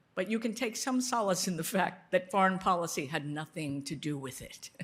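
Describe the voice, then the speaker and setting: Here is a woman with an American accent at medium pitch. She has an ordinary speaking voice. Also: fairly quick pace. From United States. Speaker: foreign policy expert, board co-chair. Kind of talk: speech at a dinner.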